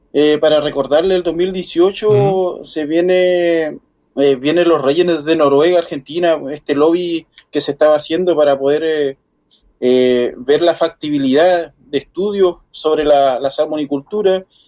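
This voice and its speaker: Speech moves fairly slowly. Its intonation remains fairly even. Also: man, fairly high pitch for a man. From Chile, far south (Puerto Williams). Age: 40s. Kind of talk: interview. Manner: halting.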